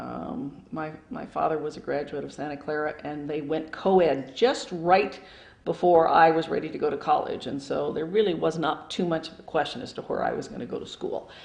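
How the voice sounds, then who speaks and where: The speaker has an American accent and a moderate pace. There are hardly any pauses. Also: woman. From Phoenix, Arizona, US Southwest. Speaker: retired local government staff member. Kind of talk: oral history interview. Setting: at home.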